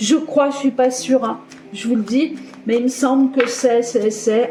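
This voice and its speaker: With music in the background, a woman speaks at a high pitch and a fairly slow pace, keeping her intonation fairly even. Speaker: tarot card reader. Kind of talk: tarot reading video. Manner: casual, hesitant.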